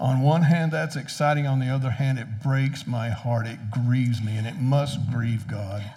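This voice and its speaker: At a moderate pace and medium pitch, a man talks with hardly any pauses over noticeable background noise. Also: ordinary pitch variation. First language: English (speaking German). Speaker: preacher. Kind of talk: sermon.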